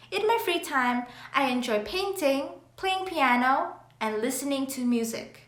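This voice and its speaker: In a room with audible echo, a woman with a high pitch speaks fairly slowly, her voice making very wide pitch swings. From Canada (moved from Vietnam as a child). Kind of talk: scripted role-play.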